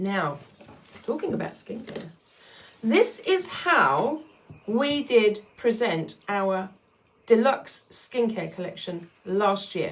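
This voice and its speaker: A woman's fairly high voice at a very slow pace, with very wide pitch swings, big swings in loudness, long, frequent pauses and noticeable background noise. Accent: British. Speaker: skincare consultant selling products. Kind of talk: sales pitch video.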